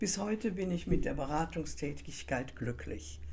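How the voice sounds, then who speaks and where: Very slowly, a woman speaks in a dark, mellow tone with vocal fry. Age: 80s+. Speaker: coach and podcast host. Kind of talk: scripted monologue.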